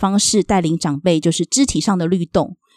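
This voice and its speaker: A woman speaks at a fairly quick pace in a dark, mellow tone. The sound is dry and close with no echo, over a quiet background. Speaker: social worker. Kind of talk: interview.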